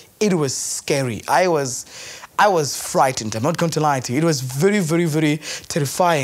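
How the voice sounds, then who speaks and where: The talking is fairly fast. Behind it there is noticeable background noise. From Eastern Cape, South Africa. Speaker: university graduate. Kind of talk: documentary interview.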